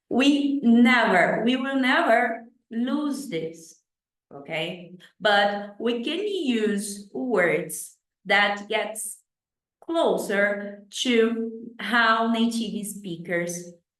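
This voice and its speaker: A woman in a Brazilian accent, very slow and lively in intonation, with audible room echo. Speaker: English teacher. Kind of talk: tutorial. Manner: halting, with many fillers.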